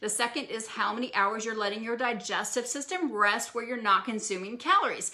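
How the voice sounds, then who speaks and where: Speaking at a fairly quick pace with hardly any pauses, a woman with a fairly high pitch and ordinary pitch variation comes through over noticeable background noise. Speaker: wellness physician. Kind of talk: live stream health talk. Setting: live social media video. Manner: fast.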